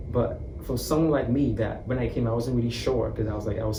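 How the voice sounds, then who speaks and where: A man talks at a very fast pace in a medium-pitched voice with ordinary pitch variation, with audible room echo and noticeable background noise. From former British colony, outside the US. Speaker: international college student. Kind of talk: interview.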